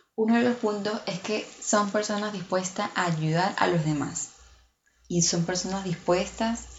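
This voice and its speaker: A somewhat breathy woman's voice at a medium pitch and fairly slow pace, with ordinary pitch variation and long, frequent pauses. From outside Mexico. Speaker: podcast host. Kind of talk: casual monologue.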